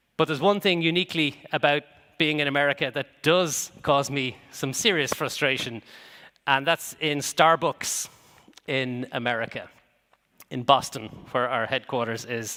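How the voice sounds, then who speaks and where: A man with an Irish accent speaks at a fairly slow pace in a fairly high pitch, his bright, sharp tone broken by long, frequent pauses. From Ireland. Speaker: business executive and conference speaker. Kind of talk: conference keynote talk. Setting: stage with audience. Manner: hesitant, with many fillers and repetitions.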